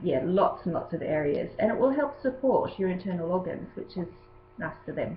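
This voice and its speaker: A woman with a plain, everyday voice and a medium pitch. Her intonation is lively. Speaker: yoga teacher. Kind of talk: tutorial.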